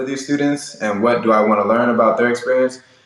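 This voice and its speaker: A man speaks at a fairly quick pace with ordinary pitch variation. It is a normal speaking voice. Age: 20s. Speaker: podcast host, guest. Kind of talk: interview conversation. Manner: filler-heavy, casual.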